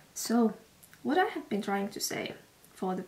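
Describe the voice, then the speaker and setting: A woman with a Finnish accent. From Finland. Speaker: vlogger. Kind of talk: vlog. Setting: outdoors. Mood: relaxed, a bit self-mocking. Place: home room. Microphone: camera far.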